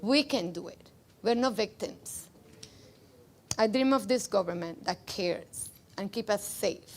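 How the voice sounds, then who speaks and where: A woman with a slight Cuban accent speaks at a fairly slow pace, leaving long, frequent pauses. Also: fairly high pitch for a woman, ordinary pitch variation, big swings in loudness. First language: Spanish. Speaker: rally speaker, immigrant. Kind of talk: political rally speech, partly read from notes. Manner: loud.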